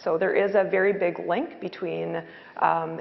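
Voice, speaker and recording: A woman at a fairly low pitch and moderate pace, with noticeable background noise. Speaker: hydrogeologist. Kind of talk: panel discussion. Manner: loud; hesitant, many fillers.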